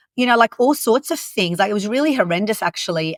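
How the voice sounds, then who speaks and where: A woman talks with an Australian accent and lively intonation. The sound is dry and close, with no echo. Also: very clean recording, silent background. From Lebanon, moved to Australia at 10. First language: French and Arabic. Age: 40s. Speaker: youth mentor and coach trainer. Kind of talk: podcast interview.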